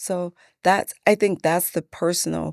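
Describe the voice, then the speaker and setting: Speaking very slowly in a fairly low pitch, a woman is heard in a dry, close sound with no echo, on a very clean recording with a silent background. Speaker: politician, mayoral candidate. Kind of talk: interview conversation. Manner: soft-spoken.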